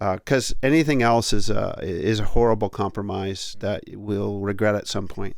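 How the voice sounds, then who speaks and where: A man with an unremarkable speaking voice, fairly low in pitch, moderate in pace, with ordinary pitch variation and hardly any pauses. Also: very clean recording, silent background. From Canada (Ontario). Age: 60s. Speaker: podcast host and author. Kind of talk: casual conversation.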